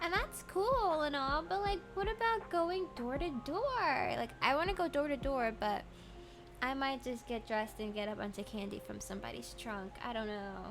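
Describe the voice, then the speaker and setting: A woman talks at a moderate speed while music runs underneath. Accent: American. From Maryland, US. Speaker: streamer. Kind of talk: casual chat. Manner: halting.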